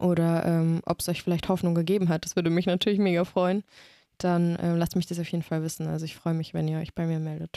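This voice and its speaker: A woman speaks very fast in a flat, monotone way, her fairly low voice dark and mellow. The recording is very clean and dry, close with no echo, over a silent background. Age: 20s. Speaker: master's student in biosciences. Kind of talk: personal testimony in casual interview.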